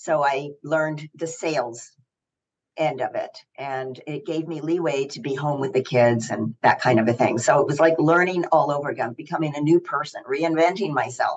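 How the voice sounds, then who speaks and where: A woman talks with a very deep, low pitch and ordinary pitch variation. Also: moderate pace. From US South. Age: 70s. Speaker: actress and athlete. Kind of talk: interview.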